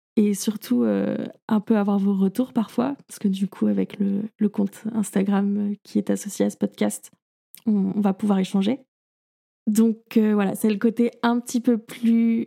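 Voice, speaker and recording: The woman's intonation is monotone and flat, her tone dark and mellow. She talks at a fairly slow pace with a dry, close sound and no echo. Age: 20s. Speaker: podcast host. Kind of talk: casual solo monologue.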